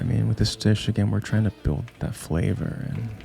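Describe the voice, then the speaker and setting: With music in the background, a man speaks in a calm, soothing tone at a moderate pace and fairly low pitch. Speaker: home cook. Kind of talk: cooking video narration. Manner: relaxed, reflective.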